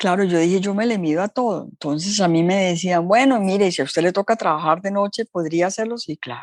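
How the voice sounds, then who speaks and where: A woman with a plain, everyday voice talks at a fairly quick pace, at a medium pitch with ordinary pitch variation, in a dry, close sound with no echo. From Colombia. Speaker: entrepreneur. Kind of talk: interview storytelling.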